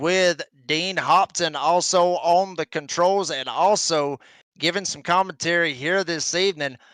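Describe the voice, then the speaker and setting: On a very clean recording with a silent background and a dry, close sound with no echo, a man with a Southern US accent speaks fairly slowly in a high voice with a bright, sharp tone. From northern Georgia, US South. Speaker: motorsport commentator. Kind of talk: live race commentary. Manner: animated.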